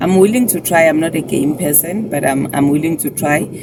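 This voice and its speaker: Noticeable background noise sits behind a woman who talks at a moderate pace with ordinary pitch variation. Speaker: YouTuber. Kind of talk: vlog.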